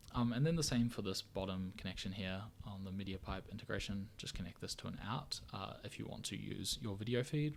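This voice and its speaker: Fairly quick in pace, a man talks in a very deep, low voice. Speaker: visual artist and software tutorial creator. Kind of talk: tutorial. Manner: fast; hesitant with many fillers.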